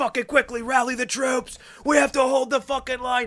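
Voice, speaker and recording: In a put-on character voice, a man speaks raspy and monotone at an extremely high pitch for a man, at a fairly quick pace with flat intonation. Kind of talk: voice-acting cinematic delivery. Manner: dramatic, urgent, epic.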